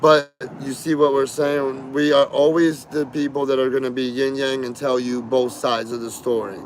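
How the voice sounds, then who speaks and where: Moderate pace and fairly even intonation over noticeable background noise. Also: man. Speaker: livestreamer. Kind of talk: casual chat.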